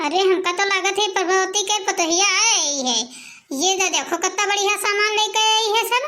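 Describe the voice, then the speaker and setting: A squeaky, cartoonish character voice from a woman, extremely high in pitch, at a moderate pace. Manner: complaining, sharp-tongued.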